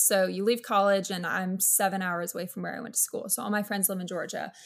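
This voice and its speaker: A somewhat breathy woman talks at a very fast pace in a medium pitch. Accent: American. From South Florida (West Palm Beach), early childhood North Carolina. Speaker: social media creator. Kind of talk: podcast interview.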